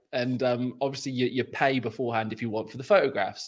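The man speaks at a very fast pace. His pitch sits at a medium level. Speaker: podcast host. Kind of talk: casual football chat.

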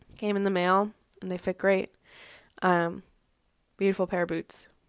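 A woman with an American accent speaks in a monotone, flat intonation, with a dry, close sound, no echo, and a very clean recording with a silent background. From Boston area, US. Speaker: fashion podcast host. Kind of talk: casual solo monologue.

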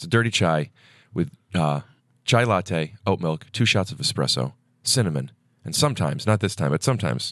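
Using vocal fry, a man with an American accent swings his pitch very widely and leaves long, frequent pauses. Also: quiet background. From US Midwest. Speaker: stand-up comedian and podcaster. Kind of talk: casual chat. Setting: studio.

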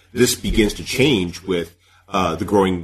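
A man's very deep, low voice, somewhat breathy. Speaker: podcast host. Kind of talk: interview.

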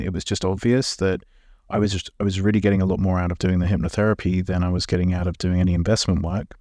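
A man with a British accent, a very deep, low pitch and a dark, mellow tone, speaking very fast with fairly even intonation on a very clean recording with a silent background. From England. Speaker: hypnotherapist. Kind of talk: interview conversation.

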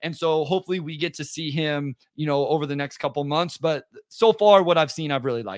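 A normal speaking voice from a man, pitched fairly high, its pitch varying in an ordinary way. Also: fairly quick pace. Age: 30s. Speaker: basketball podcaster. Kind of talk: casual chat.

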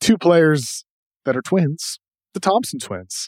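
Recorded very cleanly against a silent background, a man with a slight Boston accent has a dry, close sound with no echo. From Massachusetts South Shore. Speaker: podcast host, NBA draft analyst. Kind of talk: casual sports talk.

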